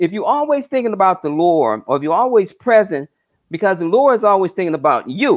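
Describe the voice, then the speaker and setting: A man talks at a fairly quick pace in a high pitch. His pitch swings very widely. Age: 60s. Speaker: numerologist. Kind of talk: spiritual talk on live stream. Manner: halting, repetitive.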